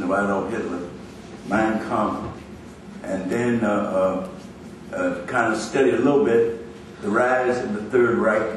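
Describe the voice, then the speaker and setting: The medium-pitched voice of a man comes through with audible room echo and noticeable background noise. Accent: American. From US Midwest, Chicago. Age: 80s+. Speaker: educator and political activist. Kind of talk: speech at a rally. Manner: halting, with repetitions.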